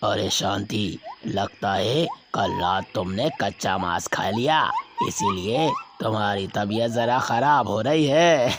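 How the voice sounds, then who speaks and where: A man puts on a cartoonish character voice at a medium pitch, talking at a fairly slow pace. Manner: warm, confident.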